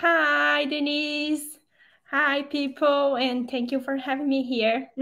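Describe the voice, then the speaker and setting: On a very clean recording with a silent background, a woman with a Portuguese accent uses a raised, projected voice that is high-pitched and bright and sharp in tone, speaking at a very slow pace with monotone, flat intonation. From southern Brazil. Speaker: fashion designer. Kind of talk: podcast interview.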